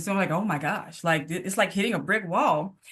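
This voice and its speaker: A woman with a Mississippi accent talks at a very fast pace and medium pitch. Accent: US Southern (Mississippi). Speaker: physical therapist. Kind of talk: casual interview conversation.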